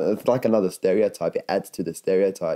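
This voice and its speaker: A man at a moderate pace with music in the background. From Lebanon. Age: young. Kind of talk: interview answer. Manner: in-your-face.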